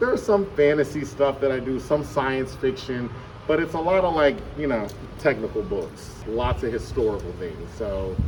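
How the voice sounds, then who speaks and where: A man's fairly high voice, with lively intonation and a moderate speed, plays out over noticeable background noise. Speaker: middle school teacher. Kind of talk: casual interview. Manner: loud.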